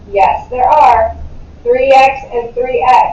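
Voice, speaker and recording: Ordinary pitch variation, with audible room echo and noticeable background noise. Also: woman. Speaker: math teacher. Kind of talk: classroom lecture. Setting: classroom.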